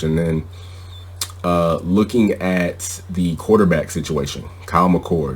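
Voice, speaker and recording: A man's very deep, low voice amid noticeable background noise. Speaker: sports podcast host. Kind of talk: sports podcast commentary. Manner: opinionated, conversational.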